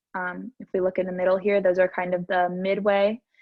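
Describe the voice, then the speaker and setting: A woman speaks at a medium pitch. She keeps a fairly quick pace. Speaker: student lecturer. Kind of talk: lecture. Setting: recorded lecture. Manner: fast; hesitant fillers.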